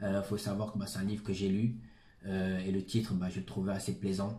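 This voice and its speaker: This man's voice is somewhat breathy, with a dark, mellow tone and a fairly low pitch. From Senegal, then France from age ten. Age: 20s. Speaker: author. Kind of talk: interview. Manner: hesitant, many fillers.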